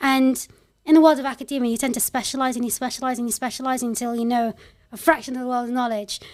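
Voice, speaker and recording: Speaking very fast in a flat monotone with a London accent, this voice is captured in a very clean recording against total silence. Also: woman, high pitch for a woman. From London, England. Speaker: tech company CEO and founder. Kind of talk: podcast interview. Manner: casual, conversational.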